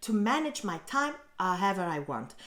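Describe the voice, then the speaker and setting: A woman with an Italian accent and very wide pitch swings, over noticeable background noise. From Italy. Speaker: blogger and online teacher. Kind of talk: vlog about her own story. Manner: casual, conversational.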